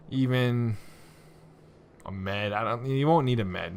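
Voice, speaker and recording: Amid audible room echo, a man speaks at a moderate pace and medium pitch with lively intonation. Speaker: gaming video creator. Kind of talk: tutorial.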